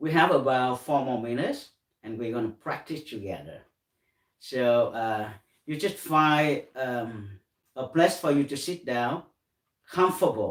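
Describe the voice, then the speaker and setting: Using a Vietnamese accent, a man speaks at a fairly slow pace and medium pitch with ordinary pitch variation and long, frequent pauses. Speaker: meditation teacher. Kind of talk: guided meditation. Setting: live stream. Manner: halting.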